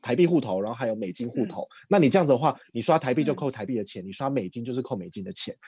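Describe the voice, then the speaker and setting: Speaking with a Taiwanese accent against a quiet background, a man at a medium pitch makes very wide pitch swings. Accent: Taiwanese Mandarin. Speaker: credit card expert. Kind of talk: casual chat.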